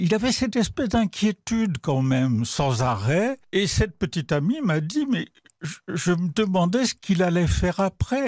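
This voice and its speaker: The voice makes very wide pitch swings against a quiet background. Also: man. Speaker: art critic and writer. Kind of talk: radio interview. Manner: conversational, hesitant with fillers.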